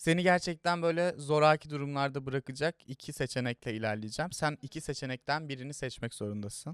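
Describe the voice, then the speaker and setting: In a plain, everyday voice, a man speaks at a fairly high pitch with ordinary pitch variation and a fairly quick pace with hardly any pauses, in a dry, close sound with no echo. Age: 20s. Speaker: youtube interview host. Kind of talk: casual interview chat. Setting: studio.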